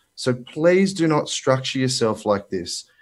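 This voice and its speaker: Speaking at a moderate pace with an Australian accent, the voice carries lively intonation. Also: man. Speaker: finance broker. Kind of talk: presentation. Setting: video call. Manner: animated.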